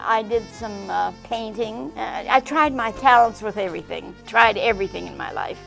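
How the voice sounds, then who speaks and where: Background music can be heard. The woman speaking keeps a moderate speed. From Czechoslovakia, raised partly in Canada. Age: 80s+. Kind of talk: interview answer.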